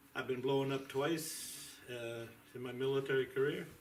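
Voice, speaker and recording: A man talks at a fairly slow pace with fairly even intonation. Audible room echo and noticeable background noise are present. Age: 70s. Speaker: military veteran, patient. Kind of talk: testimony.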